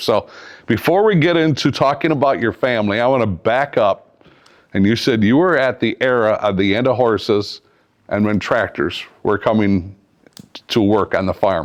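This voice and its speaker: With a plain, everyday voice, a man of medium pitch speaks at a moderate pace, his intonation lively and his loudness very even. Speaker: podcast host. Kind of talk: casual podcast interview talk.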